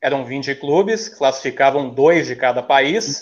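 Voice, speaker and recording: With a normal speaking voice, a man talks fairly slowly at a fairly high pitch against a quiet background. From Maringá, northern Paraná, Brazil. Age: 30s. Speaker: teacher, football fan guest. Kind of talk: casual chat.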